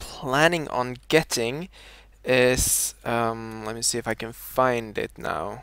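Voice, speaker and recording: A man with a Scandinavian accent at a very slow pace, ordinary pitch variation, on a very clean recording with a silent background. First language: a Scandinavian language. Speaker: video game streamer. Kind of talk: live gameplay commentary. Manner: halting, many fillers.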